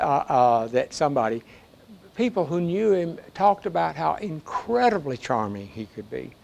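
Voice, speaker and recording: A man with a Southern US accent speaks at a moderate pace, his high pitch making very wide swings. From US South. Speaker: historian and professor emeritus. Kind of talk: audience Q&A after a book talk. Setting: public library talk with audience. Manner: halting, with many fillers and repetitions.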